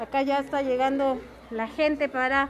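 A woman speaks in a high voice at a fairly slow pace. Light background noise can be heard. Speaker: food vlogger. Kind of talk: casual vlog narration. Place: street. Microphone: phone near.

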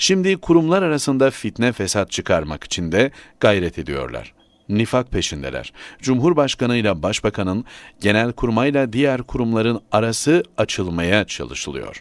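On a very clean recording with a silent background, a man speaks at a moderate pace and medium pitch with very wide pitch swings. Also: dry, close sound with no echo. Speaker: newspaper columnist. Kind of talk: reading aloud.

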